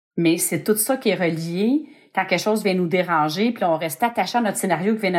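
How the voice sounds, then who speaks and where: At a very fast pace, a woman speaks with a fairly low pitch and ordinary pitch variation on a very clean recording with a silent background. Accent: Quebec. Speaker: podcast host. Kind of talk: casual chat.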